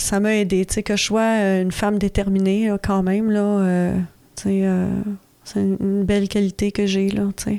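A woman with a Quebec accent speaks fairly slowly at a medium pitch, her dark, mellow tone delivered in a monotone, flat intonation at very even loudness. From Quebec, Laurentides. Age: 40s. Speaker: recovering alcoholic sharing story. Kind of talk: personal testimony. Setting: radio studio. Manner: halting, many hesitations.

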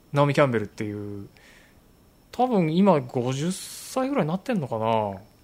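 This man's voice sits fairly high in pitch, and his pitch swings very widely. He talks at a moderate pace. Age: middle-aged. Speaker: photographer and podcast host. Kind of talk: casual chat.

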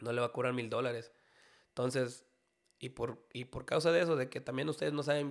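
Fairly even in intonation, the man's medium-pitched voice keeps a moderate pace. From Mexico, Jalisco. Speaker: banda singer. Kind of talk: casual chat.

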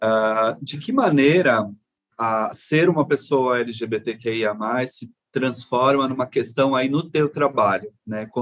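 The speaker goes at a very slow pace with ordinary pitch variation. Loudness swings a lot. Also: man, medium pitch for a man. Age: 40s. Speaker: podcast host. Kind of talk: casual interview chat.

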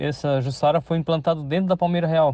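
The background is quiet as a man speaks. His tone is dark and mellow, and his pace fairly quick. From Santa Catarina, Brazil (São Pedro de Alcântara, Greater Florianópolis). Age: 50s. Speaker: farmer. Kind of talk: interview. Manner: halting, many repetitions and fillers.

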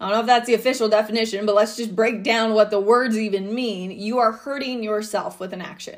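A woman with a normal speaking voice and fairly high pitch speaks at a fairly quick pace with hardly any pauses, fairly even intonation and big swings in loudness. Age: 30s. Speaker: mindset coach and podcast host. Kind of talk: solo podcast monologue.

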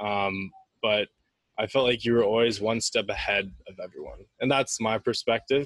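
An ordinary speaking voice from a man at medium pitch and moderate pace, with big swings in loudness. The sound is dry and close, with no echo. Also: fairly even intonation. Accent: Canadian. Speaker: podcast host. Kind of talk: trivia quiz; casual interview. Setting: in person.

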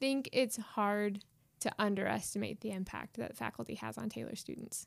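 With an American accent and vocal fry, a woman talks at a moderate pace and medium pitch in a monotone, flat intonation. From Indiana, US Midwest. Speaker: PhD student and former student. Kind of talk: casual interview.

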